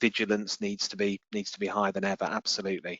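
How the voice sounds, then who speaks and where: In a flat, monotone delivery, a man speaks fairly quickly with a fairly low pitch. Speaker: crisis communication consultant. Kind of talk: webinar interview. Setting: online webinar.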